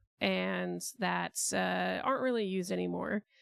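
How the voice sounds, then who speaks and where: A quiet woman's voice. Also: dry, close sound with no echo, very clean recording, silent background. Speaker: streamer. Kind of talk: casual livestream storytelling. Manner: quiet, chill.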